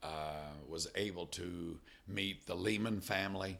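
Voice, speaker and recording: With a very deep, low pitch and vocal fry, a man in an American accent speaks in a bright, sharp tone with fairly even intonation. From US Midwest, Illinois. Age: 50s. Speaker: missions director and former missionary pastor. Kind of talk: interview conversation.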